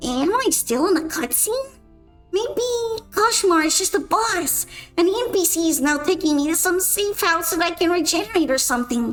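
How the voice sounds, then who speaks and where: In a put-on character voice, a woman speaks at an extremely high pitch with a whiny tone and a moderate pace while faint music plays in the background. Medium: virtual streamer. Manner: excitable, whiny.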